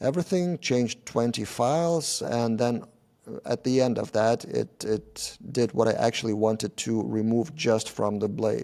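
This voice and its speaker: A man's dark, mellow voice with a non-native accent, at a fairly slow pace, in a very clean recording with a silent background. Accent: non-native English speaker. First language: not English. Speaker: software developer and tech YouTuber. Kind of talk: conference talk. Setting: meetup presentation with audience. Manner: hesitant, with many filler sounds.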